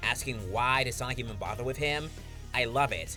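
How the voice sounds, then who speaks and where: A man speaks with music playing in the background. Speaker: comic reviewer and voice actor. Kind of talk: comic review talk to camera.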